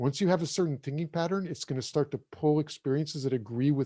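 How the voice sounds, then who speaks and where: Against a quiet background, a man speaks at a fairly quick pace with a fairly high pitch and ordinary pitch variation. His dark, mellow tone is somewhat breathy, and the sound is dry and close with no echo. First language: German. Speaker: breathwork teacher. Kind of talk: interview. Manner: casual.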